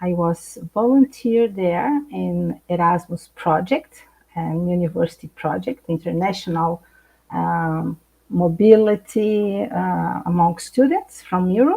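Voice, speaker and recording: Speaking very slowly, a woman talks with a Brazilian accent. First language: Portuguese. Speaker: psychologist. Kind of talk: live interview. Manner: halting.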